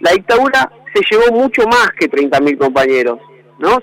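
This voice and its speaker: A high-pitched male voice, dry and close with no echo, over noticeable background noise. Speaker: economist. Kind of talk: interview.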